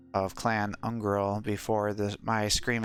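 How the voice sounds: Simply a natural reading voice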